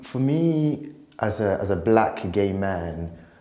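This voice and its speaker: A man speaks with a dark, mellow tone. Audible room echo surrounds his voice. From Nigeria, then UK from 19. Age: 40s. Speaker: life coach. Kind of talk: testimony.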